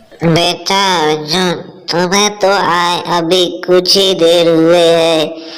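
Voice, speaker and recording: A cartoonish character voice sits at a middle pitch, flat and monotone, with very even loudness. It moves at a very slow pace, and an audible echo hangs around it. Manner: doting, chatty.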